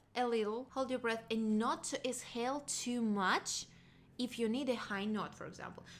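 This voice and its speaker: A woman speaks with a non-native accent at a moderate pace. Her voice is high, with ordinary pitch variation. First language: not English. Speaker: singer and vocal coach. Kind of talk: casual vocal lesson talk to camera.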